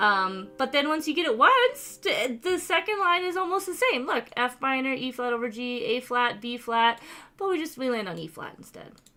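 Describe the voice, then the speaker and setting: With hardly any pauses, a woman speaks in a raised, projected voice with a high pitch, very wide pitch swings and big swings in loudness. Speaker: piano teacher. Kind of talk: tutorial. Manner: fast.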